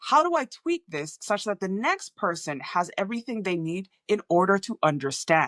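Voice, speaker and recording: Speaking at a moderate pace with hardly any pauses, a woman with an American accent and a medium pitch makes very wide pitch swings, on a very clean, dry, close recording with a silent background and no echo. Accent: American-sounding, often mistaken for US. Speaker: communication coach. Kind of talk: talking-head tutorial.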